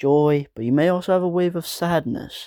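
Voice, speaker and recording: A man speaks at a moderate pace in a dark, mellow tone. The sound is dry and close with no echo, a very clean recording with a silent background. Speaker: gaming video creator. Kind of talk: casual vlog talk to camera. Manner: monotone.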